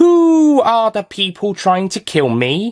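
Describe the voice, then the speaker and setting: In a put-on character voice, a man with a high pitch makes very wide pitch swings at a fairly slow pace, in a very clean recording with a silent background. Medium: read story.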